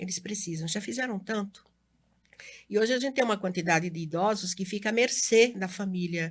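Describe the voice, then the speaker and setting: Somewhat breathy, a woman at medium pitch speaks at a fairly quick pace with ordinary pitch variation. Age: 60s. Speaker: educator and local election candidate. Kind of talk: interview.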